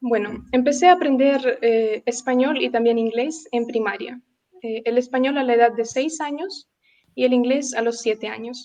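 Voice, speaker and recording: This woman has a high-pitched voice with a dark, mellow tone and a Russian accent. Her intonation stays fairly even. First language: Russian (speaking Spanish). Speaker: language teacher. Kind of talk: interview. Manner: hesitant, with many fillers.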